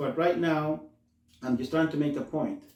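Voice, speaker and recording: A man with a Spanish accent and a dark, mellow tone. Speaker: community health worker, show host. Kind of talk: talk-show monologue. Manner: halting, self-correcting; slows down to translate.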